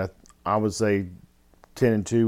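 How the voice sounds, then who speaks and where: A man speaks in an ordinary speaking voice at a fairly quick pace and fairly low pitch. The recording is very clean, with a silent background. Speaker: podcast co-host.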